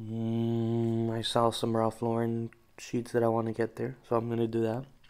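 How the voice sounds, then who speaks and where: A male voice is heard. His delivery is fairly slow. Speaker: vlogger. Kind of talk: casual vlog chat. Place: home room. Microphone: phone near.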